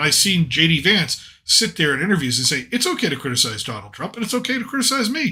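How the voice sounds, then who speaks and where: A man with an American accent, a bright, sharp tone, very wide pitch swings, and a very fast pace. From New England, US. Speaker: podcast host. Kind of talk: casual political chat.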